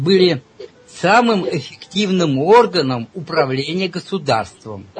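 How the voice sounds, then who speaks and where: A man's very slow, lively-toned delivery over noticeable background noise. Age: old. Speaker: self-described scientist and mathematician. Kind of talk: interview. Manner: hesitant, with frequent filler sounds.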